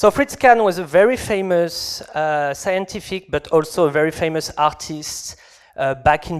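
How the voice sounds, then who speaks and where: This man talks with a French accent. His pitch is fairly high, with ordinary pitch variation. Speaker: game developer. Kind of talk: conference talk. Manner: halting.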